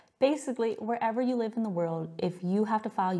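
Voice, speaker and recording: Speaking fairly quickly with lively intonation, a woman with an American accent is heard over noticeable background noise. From California, US. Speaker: tax software company founder. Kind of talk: webinar presentation. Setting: live webinar. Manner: casual, conversational.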